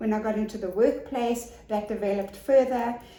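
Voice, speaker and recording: A woman speaks at a moderate pace, her pitch fairly high and her intonation fairly even. Audible room echo and noticeable background noise are present. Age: 60s. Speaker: business support consultant and author. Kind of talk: interview.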